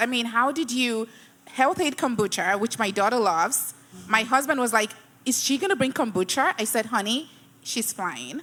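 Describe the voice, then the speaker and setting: A high-pitched woman at a moderate pace, with a non-native accent. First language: not English. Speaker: event host and company CEO. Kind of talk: live panel interview.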